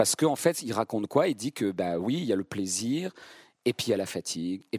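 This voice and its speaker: A man's unremarkable speaking voice, fairly quick with lively intonation, dry and close with no echo, in a very clean recording over a silent background. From central France (Vierzon). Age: 50s. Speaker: stage actor. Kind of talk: public masterclass conversation. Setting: theatre stage with live audience.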